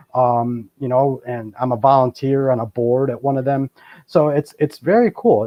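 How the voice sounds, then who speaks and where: With an American accent, the speaker's pitch varies in an ordinary way. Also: man. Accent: Boston, slight, shows now and then. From Boston, US. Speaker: paranormal and Bigfoot researcher. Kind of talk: interview. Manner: casual, many fillers.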